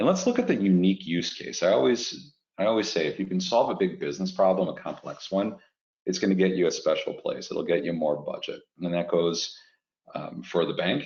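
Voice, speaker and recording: This man speaks in a Chicago accent. His pace is fairly quick. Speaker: fintech executive. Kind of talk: webinar presentation.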